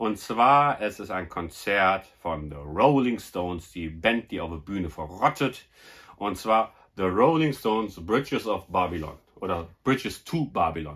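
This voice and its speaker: This man's fairly low voice swings very widely in pitch as he talks at a fairly slow pace. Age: 40s. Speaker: YouTuber, film collector; YouTuber. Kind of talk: casual vlog presentation. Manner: animated. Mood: happy, enthusiastic about finds. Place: home room. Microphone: phone near.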